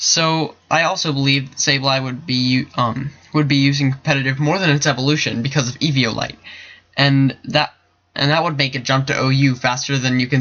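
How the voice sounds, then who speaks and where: A man speaks at a fairly quick pace in a fairly high pitch. His intonation is monotone and flat. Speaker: gaming YouTuber. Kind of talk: casual video commentary. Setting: at home late at night. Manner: fast; quiet, hushed at times.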